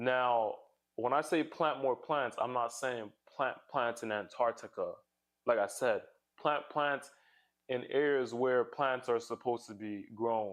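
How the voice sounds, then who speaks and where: Over a quiet background, a man with a normal speaking voice talks at a fairly slow pace, medium pitch and fairly even intonation. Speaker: youtuber. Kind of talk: casual video monologue.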